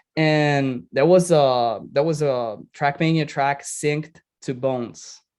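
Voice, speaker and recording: Against a quiet background, a man with a slight Polish accent speaks in a fairly high pitch with fairly even intonation. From Poland. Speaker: music producer and DJ. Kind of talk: casual chat.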